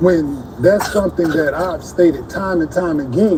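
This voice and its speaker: A man talks at a fairly slow pace in a high voice with lively intonation. Noticeable background noise runs under the recording. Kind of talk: heated debate. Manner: confrontational, repeated questions.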